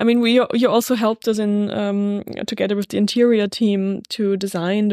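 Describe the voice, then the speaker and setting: In a German accent, a woman speaks at a medium pitch with a dark, mellow tone. Her delivery is monotone and flat, on a very clean recording with a silent background. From Salzburg, Austria. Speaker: podcast host and hotel owner. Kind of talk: interview.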